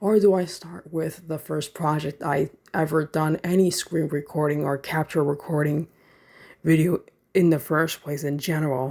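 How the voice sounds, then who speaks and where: In a very clean recording with a silent background, a woman talks at a moderate pace in a very deep, low pitch with a dark, mellow tone and fairly even intonation. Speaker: gaming youtuber. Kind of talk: casual update vlog. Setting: limited space, home recording. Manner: monotone.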